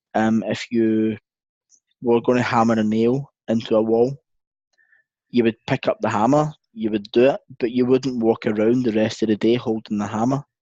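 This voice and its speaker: A man with a Scottish accent speaks at a moderate pace and medium pitch, his tone dark and mellow and his intonation monotone and flat. Long, frequent pauses break his speech, and the sound is dry and close with no echo against a quiet background. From Scotland. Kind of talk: interview answer.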